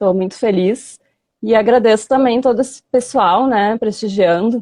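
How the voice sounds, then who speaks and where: A woman's voice at a fairly high pitch and a moderate pace. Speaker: veterinary professor. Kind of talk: online lecture. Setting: live stream video call.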